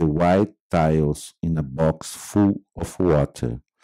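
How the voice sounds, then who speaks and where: Very slowly, a man talks with a Brazilian accent. The recording is very clean and dry, with a silent background and a close sound with no echo. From Brazil, Minas Gerais. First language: Portuguese. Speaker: artist and filmmaker. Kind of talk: reading aloud. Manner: halting.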